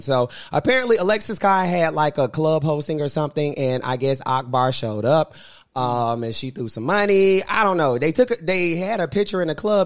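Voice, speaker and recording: A man with an American accent and a fairly high pitch, animated in tone with lively intonation, at a fairly quick pace on a very clean recording with a silent background. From Charlotte, North Carolina. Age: 30s. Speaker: podcast host. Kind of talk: casual chat.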